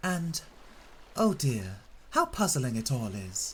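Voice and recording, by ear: Someone reads aloud in a natural voice.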